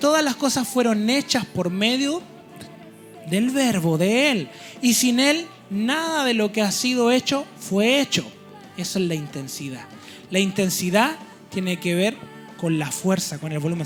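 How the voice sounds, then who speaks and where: A man's high voice with lively intonation at a fairly slow pace, over music in the background. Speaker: preacher. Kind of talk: church sermon.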